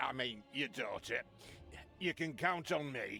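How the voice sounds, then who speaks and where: Over clear background noise, a man does a put-on character voice, fairly high for a man and paced fairly slowly. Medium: video game.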